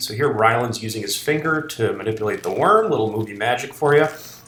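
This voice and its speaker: A man talking at a fairly quick pace, ordinary pitch variation, noticeable background noise behind him. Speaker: film director. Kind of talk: behind-the-scenes commentary. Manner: casual.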